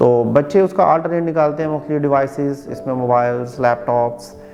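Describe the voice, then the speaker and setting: Over background music, a man talks at a medium pitch with ordinary pitch variation. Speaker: speech therapist. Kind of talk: educational explanation to camera. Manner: clear, explanatory.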